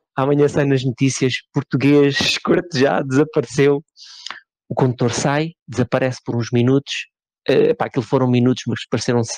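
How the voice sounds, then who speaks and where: A man speaks in a flat monotone. The sound is dry and close, with no echo. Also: medium pitch for a man, moderate pace. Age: 30s. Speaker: podcast co-host. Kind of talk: casual chat.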